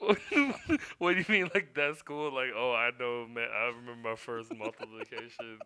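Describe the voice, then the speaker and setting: A man's normal speaking voice with an American accent, medium pitch, ordinary pitch variation and a moderate pace. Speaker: podcast co-host. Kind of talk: casual chat.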